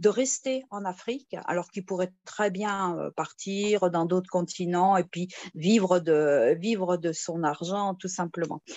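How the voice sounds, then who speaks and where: Very slow pace from a woman, her pitch medium with ordinary pitch variation. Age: 60s. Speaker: retired nurse, investment scheme member. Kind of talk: testimony. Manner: halting, many hesitations.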